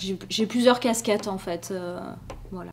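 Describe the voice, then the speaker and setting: A woman speaks. Her intonation stays fairly even. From France, Marseille. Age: 30s. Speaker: journalist and documentary filmmaker. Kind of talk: interview with students. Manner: hesitant, many fillers.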